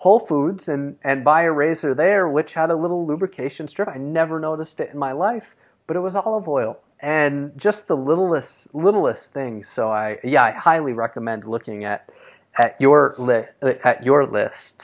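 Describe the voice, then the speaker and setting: Over a quiet background, a man with a normal speaking voice and a fairly high pitch talks at a moderate pace with lively intonation. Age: 30s. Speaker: podcast host. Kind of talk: interview. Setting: remote call.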